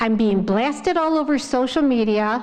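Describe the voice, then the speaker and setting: A woman speaks with lively intonation at a high pitch. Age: 60s. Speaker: village trustee. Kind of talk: public board meeting report. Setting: village board meeting.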